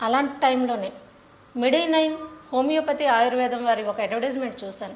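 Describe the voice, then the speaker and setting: Noticeable background noise behind a woman's high-pitched voice with ordinary pitch variation. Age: 30s. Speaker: stock exchange office worker. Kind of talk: patient testimonial.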